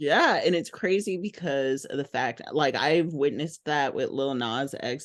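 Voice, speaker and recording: An American accent at a moderate pace over a quiet background. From Texas. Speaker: interviewer. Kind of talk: casual interview.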